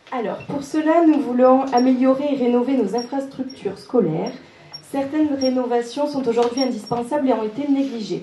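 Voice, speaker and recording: A woman speaks with a high pitch. Noticeable background noise and audible room echo surround her voice. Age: 20s. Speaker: local election candidate, beautician. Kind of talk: reading prepared statement.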